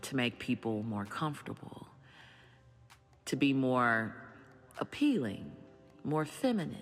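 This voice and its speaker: Over music in the background, a woman speaks at a very deep, low pitch. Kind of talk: personal reflection to camera. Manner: earnest, heartfelt.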